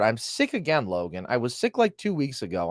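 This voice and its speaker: A man with a medium pitch talks at a moderate pace, his voice showing very wide pitch swings and vocal fry. The recording is very clean with a silent background and a dry, close sound with no echo. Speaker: sports podcast host. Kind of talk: casual chat.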